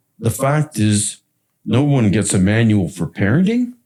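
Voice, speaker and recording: At a very slow pace, the voice has a dark, mellow tone, vocal fry and very wide pitch swings. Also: man. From Canada, Toronto. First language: French. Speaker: podcast host. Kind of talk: casual chat.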